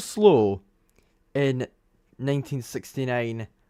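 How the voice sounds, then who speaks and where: This man has a Scottish accent. He talks at a fairly slow pace. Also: very clean recording, silent background. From Scotland. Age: young. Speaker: F1 commentator. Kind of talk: live race commentary stream. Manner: casual, conversational.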